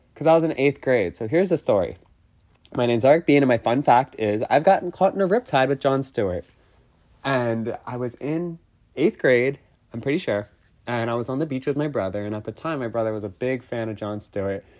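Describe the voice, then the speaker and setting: A man uses an ordinary speaking voice at medium pitch. He moves at a fairly quick pace with lively intonation. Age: 20s. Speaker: podcast host. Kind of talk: casual monologue.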